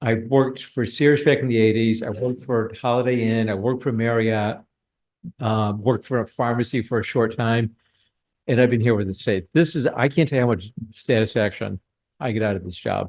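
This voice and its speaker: A man at medium pitch speaking at a fairly quick pace. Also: fairly even intonation. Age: 60s. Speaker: state grant program official. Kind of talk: training presentation. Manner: casual, halting with fillers.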